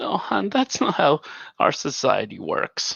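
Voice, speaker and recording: A man does a put-on character voice, sing-song and at a fairly slow pace. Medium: actual play. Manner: playful, sing-song.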